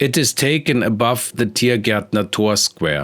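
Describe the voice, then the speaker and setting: At a fairly slow pace, a man with a Bavarian accent talks in a medium pitch with ordinary pitch variation while music plays behind him. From Germany, Bavaria (Munich). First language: German. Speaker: artist. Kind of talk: art tutorial narration.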